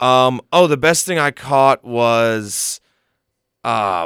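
A normal speaking voice with ordinary pitch variation. The recording is very clean, the background silent, the sound dry and close with no echo. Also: man. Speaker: college radio guest. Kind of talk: casual chat. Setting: studio.

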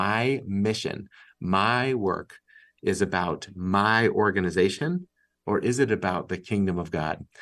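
An ordinary speaking voice with an American accent. Pitch moves in a normal way over a quiet background. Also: man. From Massachusetts. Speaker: nonprofit executive and author. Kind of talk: interview conversation.

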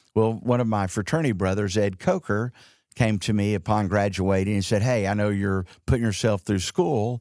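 An ordinary speaking voice, a man with an American accent talks quickly enough, at a fairly quick pace and fairly low pitch, with fairly even intonation, in a very clean recording with a silent background. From Texas, Dallas. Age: 60s. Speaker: insurance company CEO. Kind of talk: interview.

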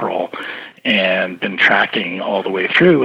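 A man talks at a fairly quick pace, and noticeable background noise can be heard. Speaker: market research firm president. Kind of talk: interview answers. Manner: conversational, explanatory.

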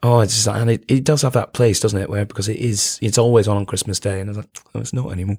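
The man's fairly low voice is somewhat breathy, heard in a dry, close sound with no echo. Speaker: comedian or performer. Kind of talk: casual chat.

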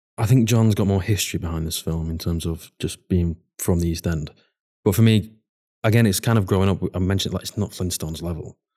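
In a very clean recording with a silent background, a man with a Mancunian accent speaks very fast in a very deep, low pitch, with a dark, mellow tone and fairly even intonation. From Manchester, northern England. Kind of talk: casual chat.

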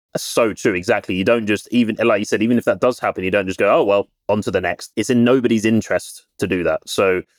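A man with a British accent speaks at a fairly quick pace in a very clean recording with a silent background and a dry, close sound with no echo. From UK. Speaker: recruiter. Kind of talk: casual interview chat.

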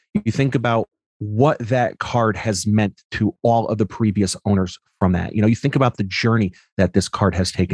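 In an ordinary speaking voice, a man talks at a fairly low pitch with ordinary pitch variation. The sound is dry and close with no echo, in a very clean recording with a silent background. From US Northeast, Connecticut. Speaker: sports card collector and content creator. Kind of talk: casual chat.

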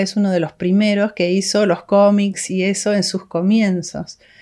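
A woman's plain, everyday voice at medium pitch, moderate pace, and fairly even intonation over a quiet background. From Argentina, Córdoba. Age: 60s. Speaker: missionary's daughter, ministry worker. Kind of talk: interview.

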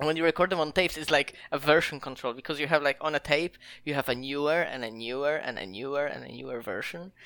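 Talking at a very fast pace with hardly any pauses, the speaker has a Polish accent, and the recording is very clean with a silent background. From Poland, near the German border. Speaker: indie game developer. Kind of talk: casual interview.

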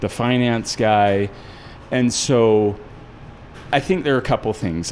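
Music plays in the background as a man talks at a moderate pace. His pitch sits fairly low and varies in an ordinary way. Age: 40s. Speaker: restaurant founder. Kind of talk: casual interview chat.

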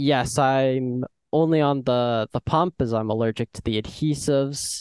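In a normal speaking voice, a man of medium pitch speaks at a fairly slow pace with ordinary pitch variation over a quiet background. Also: dry, close sound with no echo. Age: young. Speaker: guest with type 1 diabetes. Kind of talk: interview.

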